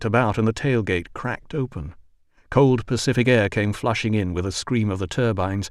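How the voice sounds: Ordinary pitch variation within a natural reading voice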